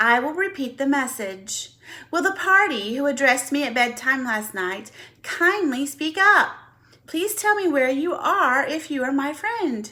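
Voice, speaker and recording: A woman puts on a character voice at a high pitch. She uses a raised, projected voice at a moderate pace. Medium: read story.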